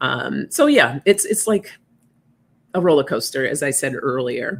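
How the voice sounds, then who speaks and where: Very deep, low female speech with vocal fry, an animated tone, very wide pitch swings and a fairly slow pace. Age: 50s. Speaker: oracle card reader, live stream host. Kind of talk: casual live stream chat reading comments. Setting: live stream. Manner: chatty, animated.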